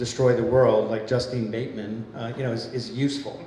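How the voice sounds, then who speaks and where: Fairly quick male speech amid noticeable background noise and audible room echo. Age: 60s. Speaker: film producer. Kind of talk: panel discussion.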